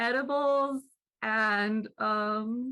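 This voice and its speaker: A woman speaks loudly in a fairly high voice with a bright, sharp tone. Her pitch varies in an ordinary way. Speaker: poet. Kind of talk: open mic discussion.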